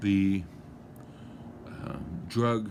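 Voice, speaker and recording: In a room with audible echo, a man talks at a fairly low pitch with ordinary pitch variation. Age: 60s. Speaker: lawyer musing on a topic. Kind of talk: casual monologue. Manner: halting, many fillers.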